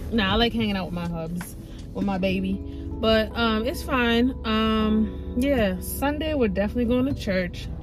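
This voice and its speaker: A woman's voice, dry with no echo, with clear music in the background. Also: moderate pace. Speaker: vlogger. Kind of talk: casual vlog chat. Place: car. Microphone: phone near.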